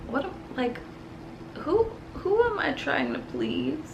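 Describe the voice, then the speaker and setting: Over noticeable background noise and audible room echo, a woman talks at a very slow pace. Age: 30s. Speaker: vlogger. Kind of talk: casual unscripted vlog monologue. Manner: casual, hesitant with fillers.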